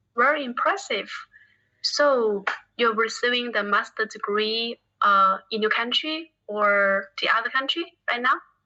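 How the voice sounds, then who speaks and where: A woman with a Chinese accent speaks at a fairly slow pace, her fairly high voice bright and sharp with lively intonation. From China. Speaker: English learner. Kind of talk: casual chat. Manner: halting.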